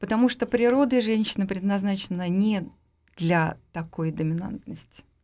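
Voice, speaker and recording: A woman's dark, mellow voice at medium pitch, with ordinary pitch variation and a moderate pace. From Russia, Moscow. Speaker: studio guest. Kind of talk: casual radio interview. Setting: radio studio.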